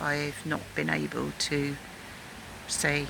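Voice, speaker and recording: A woman speaks over noticeable background noise. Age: 60s. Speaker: video blogger. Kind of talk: personal video message. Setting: outdoors in a garden. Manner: halting.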